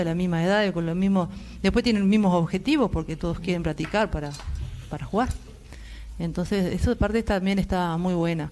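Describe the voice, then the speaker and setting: A woman talks in an ordinary speaking voice, pitched fairly low, at a fairly quick pace. Her intonation is fairly even, with light background noise behind her. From Uruguay. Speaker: volleyball coach for older adults. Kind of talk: live TV interview. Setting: TV studio. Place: studio.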